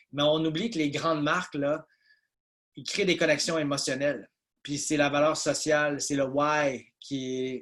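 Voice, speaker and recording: A man's fairly high voice with fairly even intonation, against a quiet background. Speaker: business consultant presenter. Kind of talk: webinar presentation. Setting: video call webinar. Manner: hesitant with many fillers.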